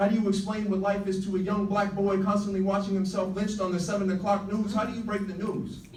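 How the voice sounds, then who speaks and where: Over noticeable background noise, a man with an American accent talks at a very fast pace with hardly any pauses, in a high, monotone, flat voice. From United States. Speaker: spoken word poet. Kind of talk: slam poetry performance. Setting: live stage, audience.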